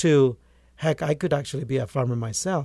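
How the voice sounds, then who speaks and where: Over a very clean, silent background, a man speaks with a fairly high pitch and ordinary pitch variation. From rural Guatemala. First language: Spanish. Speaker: agronomist and author. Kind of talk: interview.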